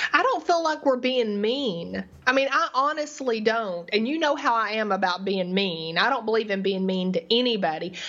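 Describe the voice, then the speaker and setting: Over noticeable background noise, a woman with a fairly high pitch and very wide pitch swings talks at a moderate pace with hardly any pauses. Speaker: podcast co-host. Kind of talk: casual banter, complaining and recapping a TV show. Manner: annoyed, ranting.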